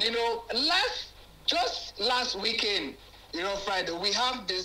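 Over noticeable background noise, a man with a Nigerian accent speaks at a fairly slow pace in an extremely high pitch. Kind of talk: testimonial commentary. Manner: animated.

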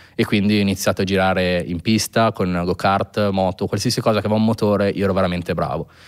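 A man with a fairly low pitch rushes along at a very fast pace with hardly any pauses. His intonation is monotone and flat, and the background is quiet. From northern Italy, Pavia province (Lombardy). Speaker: sneaker restorer. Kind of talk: casual interview chat. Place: studio. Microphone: studio mic.

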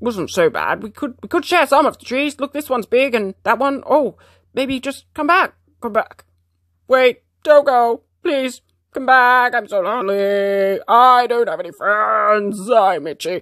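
A put-on character voice sits at a fairly high pitch. It moves at a fairly slow pace with long, frequent pauses. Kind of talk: comic pet voice-over. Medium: fan dub.

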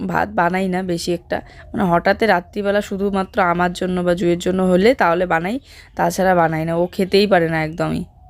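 Flat and monotone, a woman's fairly low voice carries little movement in pitch. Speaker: village family vlogger. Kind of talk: vlog voice-over narration. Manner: conversational.

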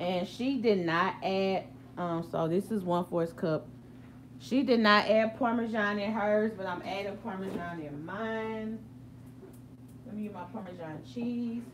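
Noticeable background noise behind a woman's fairly slow speech, with lively intonation and big swings in loudness. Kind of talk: cooking tutorial. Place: kitchen. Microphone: phone near.

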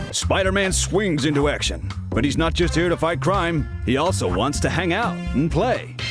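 A man at a moderate pace with hardly any pauses and very even loudness, music in the background. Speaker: voice actor. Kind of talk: toy commercial read.

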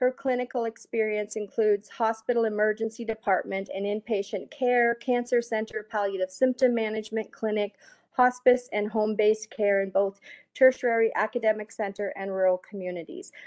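At a moderate pace, a woman speaks with fairly even intonation, a medium pitch and a slightly mellow tone.

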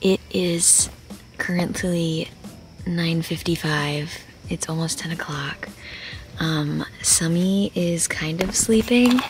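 Over music in the background, a woman speaks at a very slow pace with long, frequent pauses, a fairly low pitch, ordinary pitch variation and a dry sound with no echo. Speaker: vlogger. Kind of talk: casual vlog chat. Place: tent. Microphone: phone near.

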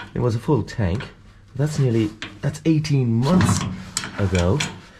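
A fairly slow pace with noticeable noise in the background. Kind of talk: casual vlog chat. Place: boat. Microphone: phone near.

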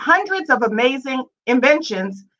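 A raised, projected voice, bright and sharp in tone, with very wide pitch swings at a moderate pace against a quiet background. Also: woman. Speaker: host organization representative. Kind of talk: prepared introductory remarks. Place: home room. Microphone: webcam.

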